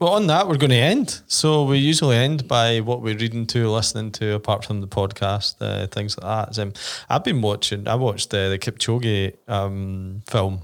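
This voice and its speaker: A man speaks in an ordinary speaking voice at a moderate pace, with medium pitch and ordinary pitch variation. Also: very clean recording, silent background. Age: 30s. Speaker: podcast host, triathlete. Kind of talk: casual chat.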